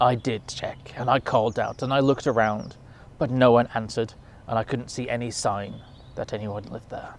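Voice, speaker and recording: A man's put-on character voice, rumbling at medium pitch and a fairly quick pace, over clear background noise. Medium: read story.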